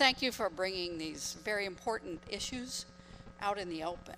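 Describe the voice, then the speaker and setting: The woman has an unremarkable speaking voice of medium pitch. She talks at a moderate pace with ordinary pitch variation. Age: 60s. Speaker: audience member, attorney. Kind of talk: audience comment at Q&A.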